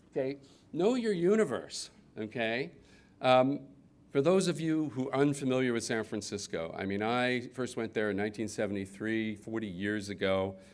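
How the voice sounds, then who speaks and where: Lively in intonation, a man with an American accent uses a plain, everyday voice at a medium pitch and a moderate pace. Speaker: business consultant. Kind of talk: conference talk. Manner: casual with many fillers.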